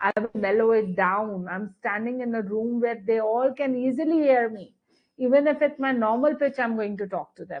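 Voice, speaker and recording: A woman talks at a moderate pace in a high pitch, and her pitch variation is ordinary. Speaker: spoken English trainer. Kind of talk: webinar lecture. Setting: online webinar.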